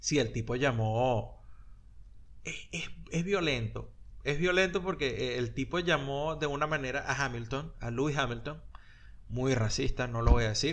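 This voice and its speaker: Through audible room echo, a man talks at a fairly slow pace with vocal fry, his medium pitch showing ordinary variation. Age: 40s. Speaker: podcast co-host. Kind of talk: casual chat.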